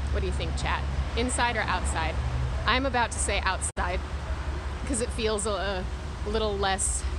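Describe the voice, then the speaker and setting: Pausing long and often, a woman speaks at a moderate pace in a dry sound with no echo, with noticeable background noise behind her. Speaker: live streamer vlogger. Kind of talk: casual chat. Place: street. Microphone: phone near.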